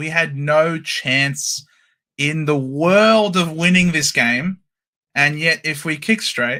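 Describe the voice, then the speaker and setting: A man with an Australian accent, fairly high-pitched and bright and sharp in tone, at a very slow pace. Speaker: football fan. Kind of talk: casual chat.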